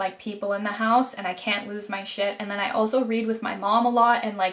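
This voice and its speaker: A woman's fairly high voice at a fairly quick pace over noticeable background noise. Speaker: actor. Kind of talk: acting self-critique commentary. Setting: filming at home. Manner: conversational, hesitant with fillers.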